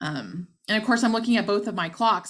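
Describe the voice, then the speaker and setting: Vocal fry in an American accent, with ordinary pitch variation over a quiet background. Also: woman. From Texas. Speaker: nonprofit development director. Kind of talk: conference presentation. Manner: fast.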